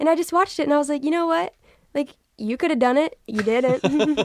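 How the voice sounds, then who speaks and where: In an American accent, a woman speaks at a moderate pace with ordinary pitch variation. The sound is dry and close, with no echo. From Texas, Dallas area. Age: 20s. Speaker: internet video creator. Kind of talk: casual chat.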